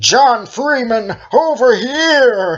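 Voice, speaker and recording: A man performs a put-on character voice pitched extremely high. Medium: read story. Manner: terse, urgent.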